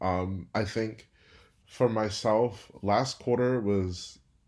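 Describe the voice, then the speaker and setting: A man with an American accent and ordinary pitch variation, on a very clean recording with a silent background. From Houston, Texas. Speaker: student government leader. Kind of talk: interview.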